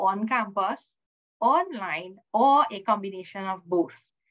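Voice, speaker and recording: A woman speaks at a fairly slow pace with lively intonation, and the background is quiet. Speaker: student services manager hosting orientation. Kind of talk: welcome address. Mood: warm, welcoming. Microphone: video call.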